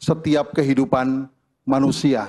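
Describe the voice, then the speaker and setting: A man talks at a moderate pace. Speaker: religious leader. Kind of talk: reading aloud a formal declaration. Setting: stage with audience at a ceremony. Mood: solemn, measured. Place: hall. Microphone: podium.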